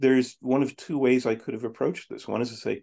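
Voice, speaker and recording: A man talks fairly quickly in a dark, mellow, medium-pitched voice with vocal fry. The background is quiet. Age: 60s. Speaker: psychotherapist. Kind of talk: podcast interview. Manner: many filler words and restarts.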